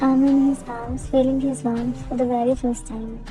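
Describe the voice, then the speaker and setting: A woman speaks in a high pitch at a moderate pace. Her pitch varies in an ordinary way, with music in the background. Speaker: fan fiction voice cover reader. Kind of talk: read fan fiction story with character dialogue. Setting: noisy room. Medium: read story.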